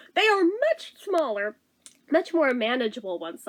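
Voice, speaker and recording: Using a put-on character voice, a woman sounds squeaky and high-pitched, with very wide pitch swings. She goes at a moderate pace. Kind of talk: casual, conversational.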